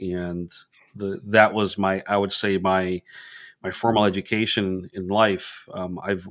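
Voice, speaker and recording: A man with a very deep, low voice speaks at a fairly slow pace in a monotone with flat intonation, in a very clean recording with a silent background. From Puerto Rico, raised in Massachusetts. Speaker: veterans service officer, military veteran. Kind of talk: podcast interview. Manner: repetitive, hesitant phrasing.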